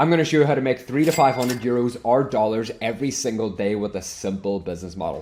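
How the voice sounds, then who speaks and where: A man's medium-pitched voice at a very fast pace, hardly any pauses, ordinary pitch variation, and noticeable background noise. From Ireland. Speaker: online business coach, software reseller. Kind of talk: tutorial.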